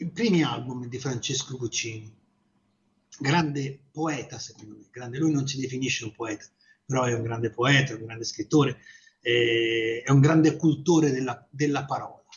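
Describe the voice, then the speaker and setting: A man at medium pitch talks at a moderate pace with ordinary pitch variation, his somewhat breathy voice showing big swings in loudness and long, frequent pauses. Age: 60s. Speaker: radio host. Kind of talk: radio music show presenting. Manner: halting, with frequent fillers and repetitions.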